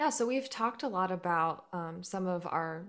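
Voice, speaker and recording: A woman uses a plain, everyday voice at a fairly low pitch and moderate pace with lively intonation. The recording is very clean, with a silent background. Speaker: podcast co-host. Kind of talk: interview conversation.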